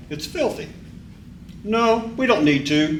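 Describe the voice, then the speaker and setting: A man at a moderate pace, with very wide pitch swings and audible room echo. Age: 60s. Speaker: member of the public giving comment. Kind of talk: public comment at a board meeting. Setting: public board meeting room. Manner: halting, with repeated words.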